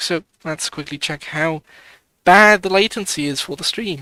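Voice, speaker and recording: The voice has a British accent in a very clean recording with a silent background. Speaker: gaming streamer. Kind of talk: live gameplay stream commentary. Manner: casual, thinking aloud.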